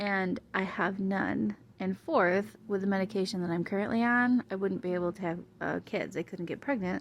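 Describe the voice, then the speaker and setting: Soft-spoken and at medium pitch, a woman keeps a moderate pace with hardly any pauses. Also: ordinary pitch variation, quiet background. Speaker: vlogger with multiple sclerosis. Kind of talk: casual vlog chat. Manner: hard to hear, soft.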